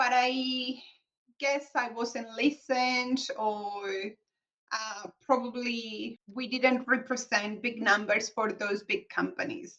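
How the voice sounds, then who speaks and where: A woman's high-pitched, bright, sharp voice with a Colombian accent, very slow pace and ordinary pitch variation. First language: Spanish. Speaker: accountant, business founder. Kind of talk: interview.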